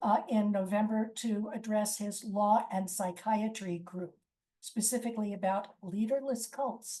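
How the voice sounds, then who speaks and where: Somewhat breathy and dark, mellow in tone, a woman speaks at a fairly high pitch with ordinary pitch variation. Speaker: lawyer and lecturer. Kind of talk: presentation.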